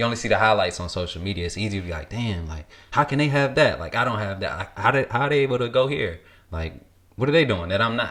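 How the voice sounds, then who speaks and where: A man talks at a very fast pace with a medium pitch. His intonation is lively. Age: 20s. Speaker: podcast host. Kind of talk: casual chat.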